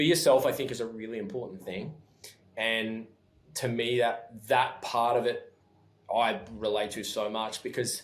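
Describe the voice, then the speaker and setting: A voice with an Australian accent and ordinary pitch variation, heard with audible room echo. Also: man, medium pitch for a man. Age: 30s. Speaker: clothing company founder. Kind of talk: podcast interview. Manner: fast when excited; halting, many restarts.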